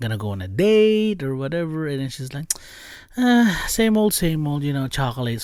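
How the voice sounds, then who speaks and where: Speaking with a non-native accent, a man uses an animated tone and very wide pitch swings. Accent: noticeable non-native. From immigrant from abroad. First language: not English. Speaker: podcast host. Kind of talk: casual storytelling. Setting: recording with camera, video podcast. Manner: animated, many fillers.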